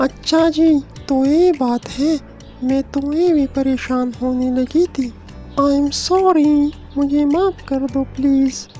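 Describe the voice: Clear music plays behind a woman doing a cartoonish character voice. She speaks at a high pitch and a fairly slow pace.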